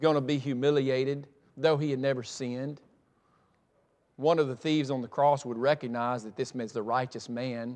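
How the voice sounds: The tone is slightly mellow, with fairly even intonation and a moderate pace. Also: man, medium pitch for a man.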